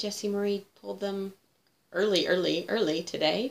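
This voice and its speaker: A woman has a normal speaking voice at a medium pitch. She speaks at a moderate pace with ordinary pitch variation. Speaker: cross-stitch vlogger. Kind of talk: casual chat.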